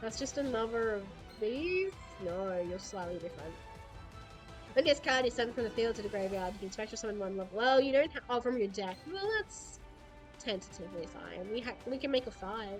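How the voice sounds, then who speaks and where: Music plays in the background as a woman talks. Her intonation is lively and her pace fairly quick. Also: fairly high pitch for a woman. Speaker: VTuber. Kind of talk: casual gaming livestream commentary.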